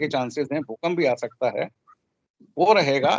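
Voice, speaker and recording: The recording sounds dry and close, without any echo. This man's pitch varies in an ordinary way. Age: 60s. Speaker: astrologer. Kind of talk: speech with predictions. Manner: humble, conversational.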